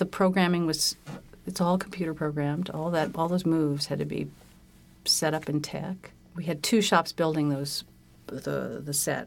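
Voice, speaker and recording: At a moderate pace, a woman with a General American accent speaks in a very deep, low voice with fairly even intonation. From California. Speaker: set designer. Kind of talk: interview.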